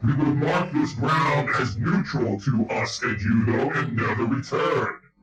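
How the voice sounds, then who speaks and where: A put-on character voice goes along at a fairly slow pace with a slight echo. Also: man, medium pitch for a man. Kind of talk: tabletop roleplay character voice.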